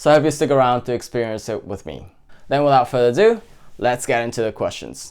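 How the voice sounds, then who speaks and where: Speaking at a very fast pace with a Japanese accent, a man keeps a medium pitch with ordinary pitch variation. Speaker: cooking YouTuber. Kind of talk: Q&A video talk.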